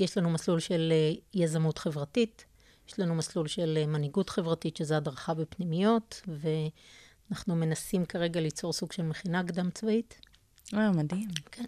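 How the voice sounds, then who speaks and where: A dark, mellow tone at a fairly slow pace with ordinary pitch variation, dry and close with no echo against a quiet background. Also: woman, fairly low pitch for a woman. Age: 40s. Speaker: scholarship coordinator. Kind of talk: interview.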